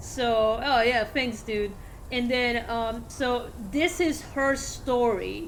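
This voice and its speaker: A woman with a Spanish accent speaks very slowly in a high voice. Room echo is audible. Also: ordinary pitch variation. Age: 40s. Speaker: video game streamer. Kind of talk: casual gameplay commentary. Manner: halting, many fillers.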